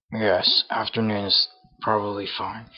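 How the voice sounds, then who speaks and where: Speaking at a moderate pace, a man puts on a raspy character voice. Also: fairly low pitch for a man. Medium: game stream. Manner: brisk, businesslike.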